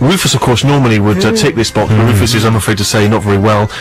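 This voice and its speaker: With music playing in the background, a man speaks at a fairly low pitch with ordinary pitch variation. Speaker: radio presenter. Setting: radio studio.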